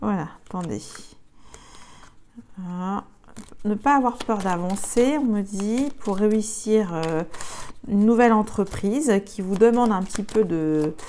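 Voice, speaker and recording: A woman at medium pitch with ordinary pitch variation, a very slow pace and long, frequent pauses. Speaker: tarot card reader. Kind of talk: tarot reading. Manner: halting, many fillers.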